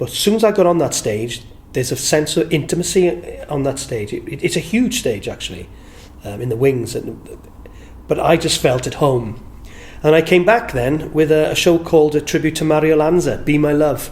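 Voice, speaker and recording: A man in a South Wales accent, with noticeable background noise. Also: fairly high pitch for a man, lively intonation, moderate pace. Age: 60s. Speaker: entertainer and singer. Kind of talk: interview reminiscence. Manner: warm, halting with repetitions.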